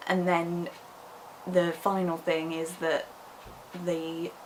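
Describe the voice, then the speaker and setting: A speaker with a British accent talks in a monotone, flat intonation. Noticeable background noise can be heard. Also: woman. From England. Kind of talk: casual vlog talk to camera.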